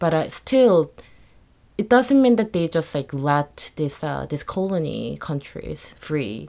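A woman with a Korean accent speaks at a very slow pace in a very clean recording with a silent background. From South Korea. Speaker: multidisciplinary artist. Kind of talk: interview.

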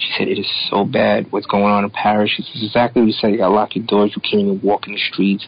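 A man speaks very fast in a fairly low pitch, with flat, monotone intonation. Noticeable background noise runs under the recording. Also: hardly any pauses. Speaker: comic creator. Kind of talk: casual chat.

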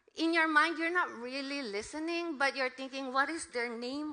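A woman projects her voice with a bright, sharp tone. Her pace is moderate and her pitch variation ordinary. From Philippines. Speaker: missionary preacher. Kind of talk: sermon. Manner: halting.

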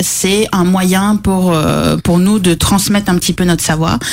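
At a fairly slow pace and very even loudness, a woman with a medium pitch and ordinary pitch variation talks with hardly any pauses over noticeable background noise. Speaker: pastry chef. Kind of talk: casual chat.

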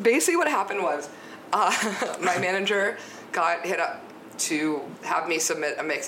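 With noticeable background noise behind her, a woman speaks at a moderate pace in a fairly low pitch with lively intonation. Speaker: podcast guest; DJ and radio show host. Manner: casual, enthusiastic.

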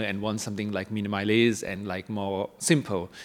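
A man with a Thai accent, fairly low in pitch, fairly quick in pace, with fairly even intonation. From Thailand, Bangkok. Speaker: ceramic artist. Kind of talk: interview.

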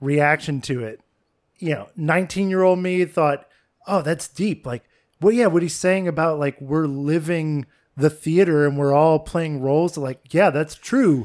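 Recorded very cleanly with a silent background, a man with a fairly high pitch talks at a fairly slow pace in a plain, everyday voice with ordinary pitch variation. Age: 30s. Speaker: film podcast co-host. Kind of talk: casual chat. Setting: apartment.

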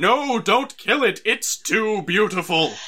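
A man uses a high, put-on character voice, raised and projected. He speaks at a fairly slow pace. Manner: urgent, awestruck.

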